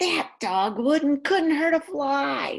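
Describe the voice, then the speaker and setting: The speaker whispers. It is a put-on character voice. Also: woman. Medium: read story. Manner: whispering.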